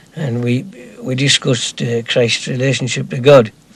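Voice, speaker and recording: A man's medium-pitched voice at a moderate pace over noticeable background noise. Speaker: community member. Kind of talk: casual chat.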